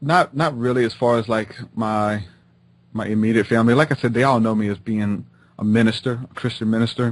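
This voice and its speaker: A man with a Southern US accent, medium pitch, fairly even intonation and a fairly quick pace, over a quiet background. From Louisiana, near New Orleans (Houma). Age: 20s. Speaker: rapper and minister. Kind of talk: interview conversation. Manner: stutters; casual, filler-heavy.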